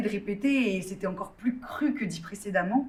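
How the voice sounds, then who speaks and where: A woman speaks at a moderate pace with a somewhat breathy voice. Audible room echo surrounds her. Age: 20s. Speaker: drama student with endometriosis. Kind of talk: testimony. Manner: hesitant, many fillers.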